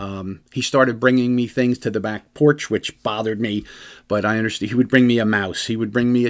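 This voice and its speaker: Very fast man with an American accent, in a very clean recording with a silent background. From New Jersey. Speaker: police officer and radio host. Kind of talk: radio talk show monologue. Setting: studio.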